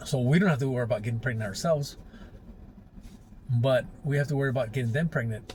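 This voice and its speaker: A man talks at a fairly quick pace with a fairly high pitch and ordinary pitch variation. His voice is somewhat breathy. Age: 60s. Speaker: life advice vlogger. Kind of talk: casual monologue. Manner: casual, conversational.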